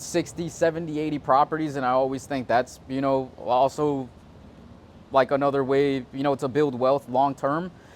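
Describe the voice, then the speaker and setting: A man with an American accent speaks at a fairly high pitch. His intonation is monotone and flat. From South Florida (Hollywood / Fort Lauderdale / Davie area). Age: 20s. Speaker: real estate agent. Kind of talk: casual interview. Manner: halting, many fillers and restarts.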